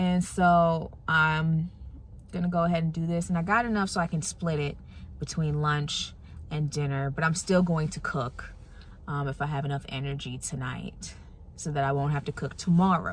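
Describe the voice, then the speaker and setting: A woman speaks at a moderate pace in a very deep, low pitch. Her voice is somewhat breathy, with fairly even intonation. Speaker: TV meteorologist, vlogger. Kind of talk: casual vlog chat. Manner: soft-spoken.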